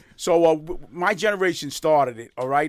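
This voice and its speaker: A man at a fairly quick pace with a New York accent, on a very clean recording with a silent background. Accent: New York (Bronx). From New York City, the Bronx. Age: 60s. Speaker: dry cleaning business owner and social media personality. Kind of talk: podcast interview. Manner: energetic.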